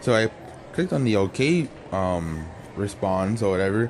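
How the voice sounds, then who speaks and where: Lively intonation runs through this moderately paced speech, which has noticeable background noise. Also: man. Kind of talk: casual talk to camera. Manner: casual, rambling.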